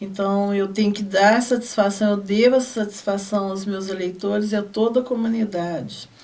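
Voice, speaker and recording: In an ordinary speaking voice, a woman talks at a moderate pace with medium pitch and fairly even intonation. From Brazil, southern Minas Gerais (Guaxupé). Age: 60s. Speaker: city councillor. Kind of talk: TV interview. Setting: studio.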